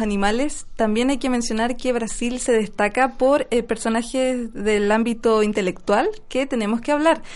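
A woman with an unremarkable speaking voice talks at a moderate pace. Her pitch is fairly high and varies in an ordinary way. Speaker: radio host. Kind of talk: casual radio chat.

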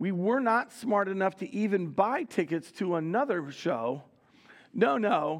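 A man speaks at a fairly slow pace in a high pitch. His tone is animated, with very wide pitch swings. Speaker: pastor. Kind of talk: sermon. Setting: church. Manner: repeats words, halting starts.

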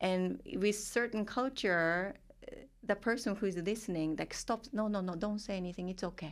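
A woman with a Japanese accent talks at a moderate pace, her pitch medium with ordinary variation. The recording is very clean, with a silent background. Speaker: therapist working with multicultural clients. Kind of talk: casual interview conversation.

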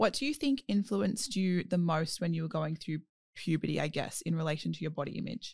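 A woman with an Australian accent, fairly low in pitch, at a fairly quick pace. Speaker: podcast host. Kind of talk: casual chat.

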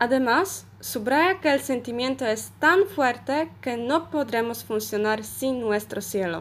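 Lively intonation marks this very slow talking. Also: woman, very clean recording, silent background. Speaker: Spanish language student. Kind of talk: short prepared talk.

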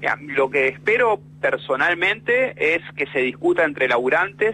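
A man speaks in a Rioplatense accent. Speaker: bus worker, union delegate and writer. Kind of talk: interview.

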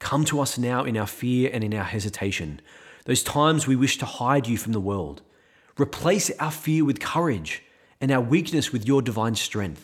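A man with a medium pitch and an unremarkable speaking voice talks with lively intonation. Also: very clean recording, silent background. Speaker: priest. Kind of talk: homily; fervent prayer, led aloud for listeners and the community. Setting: podcast recording. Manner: earnest, pleading, reverent.

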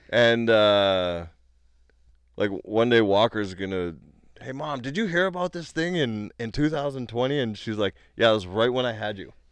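At a moderate pace, a man with an unremarkable speaking voice talks in a medium pitch with lively intonation. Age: 30s. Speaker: podcast co-host and comedian. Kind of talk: casual chat. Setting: home recording.

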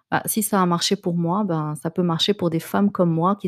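The sound is dry and close, with no echo, on a very clean recording with a silent background. Intonation stays monotone and flat. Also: woman. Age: 30s. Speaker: podcast host and life coach. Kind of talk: personal monologue podcast. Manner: hesitant, frequent fillers and repetitions.

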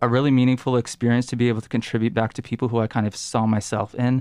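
With a quiet background, a man speaks at medium pitch in a monotone, flat intonation. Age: 30s. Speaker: peer mentor, post-bac graduate. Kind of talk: interview.

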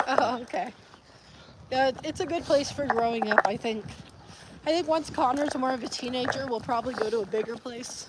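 There is noticeable background noise as a woman with a high pitch and ordinary pitch variation talks at a fairly quick pace with long, frequent pauses. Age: 20s. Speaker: vlogger. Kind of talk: casual chat. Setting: outdoors.

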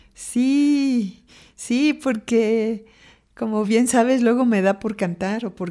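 Very slowly, a woman speaks in a dark, mellow tone at a fairly high pitch with ordinary pitch variation, on a very clean recording with a silent background. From Mexico City. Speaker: poet. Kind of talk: interview. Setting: studio.

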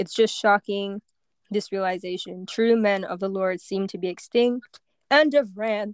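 A woman with an ordinary speaking voice talks at a moderate pace with medium pitch and fairly even intonation. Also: dry, close sound with no echo. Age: 20s. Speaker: podcast co-host. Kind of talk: casual chat.

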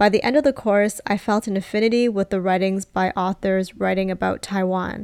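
Speaking in a Canadian accent, a woman has an unremarkable speaking voice at a medium pitch and moderate pace. The recording is very clean and silent behind her, with a dry, close sound and no echo. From Canada. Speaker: podcast host, grad school adviser. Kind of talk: scripted personal monologue.

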